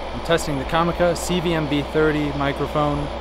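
Loud background noise accompanies a man's voice, recorded dry with no echo. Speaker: video creator reviewing mics. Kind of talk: mic test commentary. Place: open country. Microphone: phone near.

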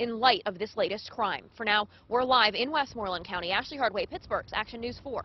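A woman speaks at a very fast pace. Her sound is dry, with no echo. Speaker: TV news reporter. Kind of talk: live news report. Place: street.

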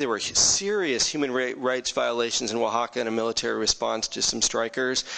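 Using a plain, everyday voice, a man at medium pitch talks at a fairly quick pace. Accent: American. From California Bay Area, US; California. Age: 40s. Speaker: city council candidate; council candidate. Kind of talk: campaign closing statement. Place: meeting room. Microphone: podium.

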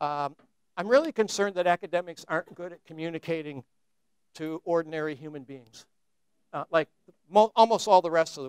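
A high-pitched man with an American accent talks at a very fast pace yet leaves long, frequent pauses, his intonation fairly even but his loudness swinging widely, in a dry sound with no echo over a quiet background. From United States. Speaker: philosopher and lecturer; lecturer. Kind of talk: lecture. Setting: stage with audience. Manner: conversational with many fillers. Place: classroom.

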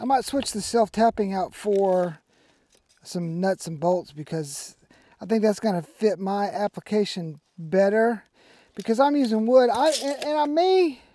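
The man's voice is high-pitched with a dark, mellow tone and lively intonation. He talks fairly slowly with long, frequent pauses, in a dry sound with no echo. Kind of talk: tutorial. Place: open country. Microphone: camera far.

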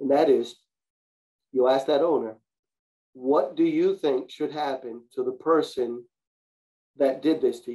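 A man's dark, mellow voice, fairly slow with long, frequent pauses and ordinary pitch variation. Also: medium pitch for a man.

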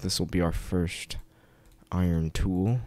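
Quiet and fairly slow, a man speaks at a very deep, low pitch on a very clean recording with a silent background. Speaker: gaming video creator. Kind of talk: casual gameplay commentary. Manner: quiet, kept low; hesitant, many fillers.

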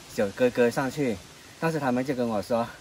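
Over light background noise, a man talks at a moderate pace with ordinary pitch variation, the sound dry and free of echo. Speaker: travel vlogger. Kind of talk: casual vlog chat. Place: forest. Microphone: camera far.

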